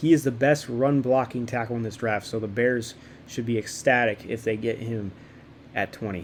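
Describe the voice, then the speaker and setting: Fairly even in intonation and medium in pitch, a man with an unremarkable speaking voice talks at a moderate pace. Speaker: sports YouTuber. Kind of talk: casual commentary. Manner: filler-heavy, repetitive.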